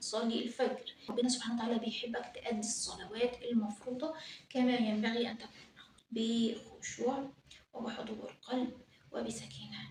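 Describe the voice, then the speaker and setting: Fairly high-pitched woman in an Egyptian accent, fairly slow pace, monotone, flat intonation, big swings in loudness, audible room echo. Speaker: religious YouTuber. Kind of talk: religious advice talk.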